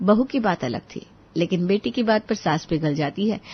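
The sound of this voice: At a moderate pace, the voice has lively intonation and a slightly husky edge. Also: woman.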